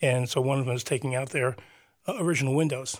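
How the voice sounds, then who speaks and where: A man with an American accent, fairly high in pitch, fairly quick, with ordinary pitch variation, on a very clean recording with a silent background. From New Jersey (Teaneck, Bergen County). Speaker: urban planner and arts center event manager. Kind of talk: radio interview. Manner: halting, many fillers.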